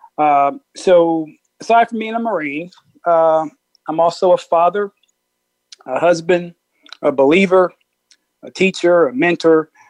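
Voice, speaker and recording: With an American accent and a high pitch, a man speaks with long, frequent pauses in a dry, close sound with no echo. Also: ordinary pitch variation. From US Midwest, Peoria, Illinois. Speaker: Marine Corps officer. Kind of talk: interview.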